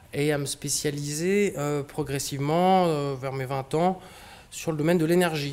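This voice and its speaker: At a fairly slow pace, a man with a fairly high pitch speaks with fairly even intonation. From France, Brittany (Brest), later Auvergne. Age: 30s. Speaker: company director, speaker on sail shipping. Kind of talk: public talk. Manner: hesitant, many fillers.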